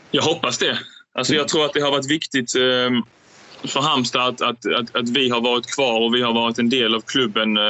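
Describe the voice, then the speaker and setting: A man's medium-pitched voice with fairly even intonation and noticeable background noise. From southern Sweden, Skåne (Ängelholm). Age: 20s. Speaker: professional badminton player. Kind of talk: interview.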